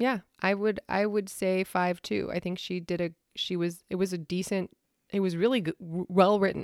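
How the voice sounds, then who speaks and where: On a very clean recording with a silent background, a woman speaks at a moderate pace, her medium pitch held in fairly even intonation. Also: dry, close sound with no echo. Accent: American. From US Pacific Northwest, Washington State. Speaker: podcast host. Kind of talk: casual chat.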